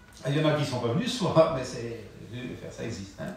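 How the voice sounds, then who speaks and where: Amid noticeable background noise and audible room echo, a man at medium pitch talks at a fairly quick pace with ordinary pitch variation. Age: 70s. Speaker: preacher. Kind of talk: sermon. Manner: halting.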